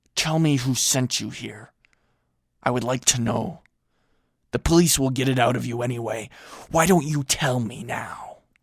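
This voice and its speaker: A raspy, put-on character voice from a man at a medium pitch and moderate pace, with ordinary pitch variation and long, frequent pauses. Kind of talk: audio fiction reading. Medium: read story. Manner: calm, unafraid.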